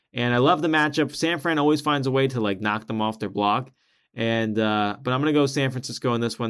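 A very fast pace on a very clean recording with a silent background. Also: man. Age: 20s. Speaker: sports podcast host. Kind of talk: solo sports commentary podcast. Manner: halting, frequent repetitions and fillers.

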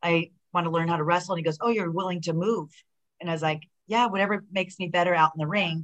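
A woman talks in an unremarkable speaking voice with an American accent. Her pitch is fairly low and her intonation fairly even. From Southern California. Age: 50s. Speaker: professional wrestler. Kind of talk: casual chat.

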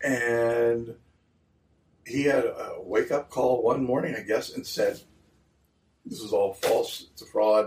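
Long, frequent pauses break up the speech of a man at a very slow pace. He speaks with an American accent. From Cumberland, Maryland, Appalachian hills. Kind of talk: interview testimony. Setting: in a store.

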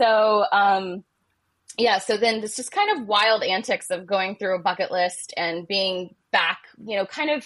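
A woman with an American accent, a medium pitch, ordinary pitch variation, and an ordinary speaking voice. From Ohio. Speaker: romance novelist. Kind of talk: casual interview chat.

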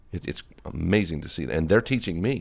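With an American accent, a man speaks with lively intonation and vocal fry. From Virginia, US. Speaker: Armenian advocacy group leader. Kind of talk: interview.

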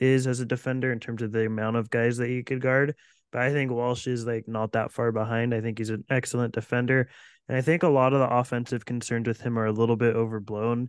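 A man at a fairly quick pace, medium in pitch and monotone, flat in intonation, with a dry, close sound and no echo. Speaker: podcast co-host. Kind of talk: casual podcast discussion.

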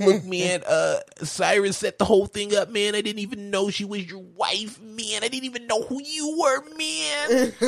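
At a moderate pace, a man performs a put-on character voice pitched high. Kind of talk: casual comic impression of a movie character. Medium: talk show. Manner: pleading, jittery, says man constantly.

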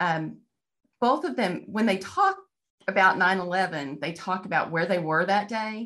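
In a Texan accent, a woman talks with a fairly low pitch. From Texas. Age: 50s. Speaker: novelist. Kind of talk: interview.

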